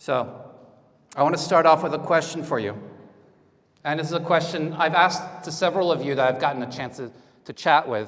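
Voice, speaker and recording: Over audible room echo, a man speaks at a fairly quick pace but breaks it with long, frequent pauses. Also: fairly high pitch for a man, ordinary pitch variation. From France. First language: French. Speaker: conference speaker. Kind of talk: lecture. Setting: stage with audience.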